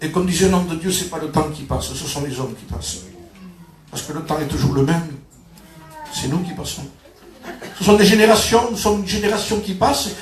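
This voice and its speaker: Noticeable background noise and audible room echo surround a man's high pitch and ordinary pitch variation as he moves at a fairly quick pace, with long, frequent pauses and big swings in loudness. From southern France, Perpignan. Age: 60s. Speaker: pastor. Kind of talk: sermon. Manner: halting, with repetitions.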